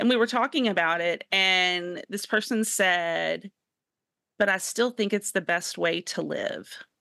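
Against a quiet background, a woman with a bright, sharp, animated tone speaks at a medium pitch and a fairly slow pace, with ordinary pitch variation and a dry, close sound with no echo. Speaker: podcast co-host. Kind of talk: casual Bible study discussion. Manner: animated, laughs often.

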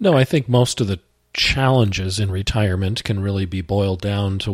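A man with an unremarkable speaking voice talks at a moderate pace, his fairly low pitch showing ordinary pitch variation. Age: 50s. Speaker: finance instructor and financial planner. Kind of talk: educational talk show. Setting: studio.

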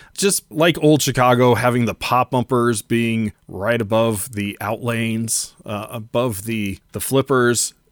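In a very clean recording with a silent background and a dry, close sound with no echo, a man with an ordinary speaking voice talks at medium pitch, at a fairly slow pace, with ordinary pitch variation. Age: 40s. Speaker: pinball streamer and collector. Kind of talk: casual interview chat.

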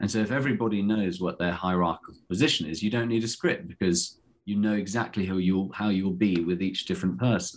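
A fairly low-voiced man speaks very fast with hardly any pauses and ordinary pitch variation. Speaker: actor. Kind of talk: interview.

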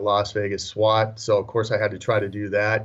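This man has an American accent and a medium pitch. His intonation is monotone and flat. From Minnesota. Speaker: retired police sergeant, laser company representative. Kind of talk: podcast interview.

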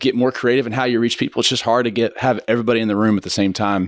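Here a man talks with an American accent. His pitch is medium, and his intonation is fairly even. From Kansas, Wichita. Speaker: church ministry leader. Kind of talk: casual chat.

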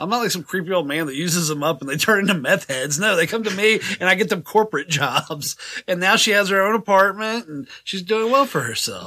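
A man with a high pitch uses a raised, projected voice and lively intonation. He moves at a fairly quick pace with hardly any pauses. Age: 40s. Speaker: podcast co-host. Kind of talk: casual banter. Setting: studio.

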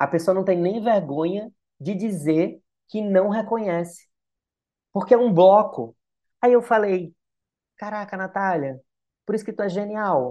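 A man speaks with a high pitch. He leaves long, frequent pauses. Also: ordinary pitch variation. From Natal, Brazil. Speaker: screenwriter and creator. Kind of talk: casual interview chat. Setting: studio.

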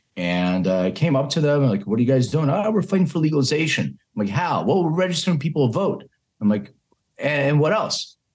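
In an American accent, a man speaks at a fairly quick pace and a fairly high pitch, somewhat breathy, with very wide pitch swings. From Philadelphia, US. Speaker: cannabis health company CEO. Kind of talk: interview.

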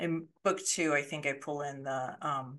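Her voice sits very deep and low for a woman, moving at a fairly slow pace with fairly even intonation. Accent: American. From Colorado, US. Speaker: thriller author, former lawyer. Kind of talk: casual interview.

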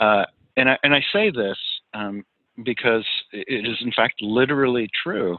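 A man speaks in an unremarkable speaking voice with an American accent. His pitch is medium, with ordinary pitch variation. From New York, New Jersey and Western Pennsylvania. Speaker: pastor. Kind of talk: interview.

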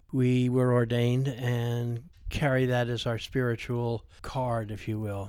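In an American accent, a man speaks at a medium pitch and a fairly slow pace. His intonation is monotone and flat. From US, Vermont. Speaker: geomancer and dowser. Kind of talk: interview.

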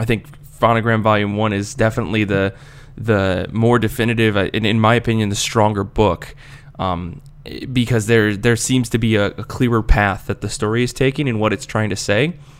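An ordinary speaking voice: a man with an American accent and medium pitch talks at a fairly quick pace with ordinary pitch variation. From United States. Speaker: podcast host. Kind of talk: casual chat.

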